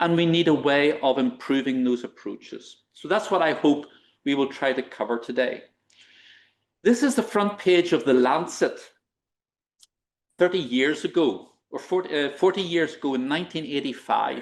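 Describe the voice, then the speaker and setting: A man talks at a moderate pace with an Irish accent. His pitch is fairly high. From Northern Ireland, Belfast. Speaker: professor of global health. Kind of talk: lecture. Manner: halting, many fillers.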